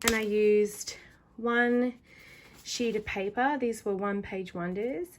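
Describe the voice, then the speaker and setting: A woman's fairly high voice with ordinary pitch variation, a very slow pace and long, frequent pauses. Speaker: stationery crafter and video creator. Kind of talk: casual craft show-and-tell.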